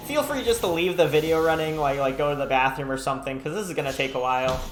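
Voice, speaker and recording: A man with a fairly high voice speaks at a very fast pace, with ordinary pitch variation. Room echo is audible, and there is noticeable background noise. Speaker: gaming YouTuber. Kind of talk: gameplay commentary.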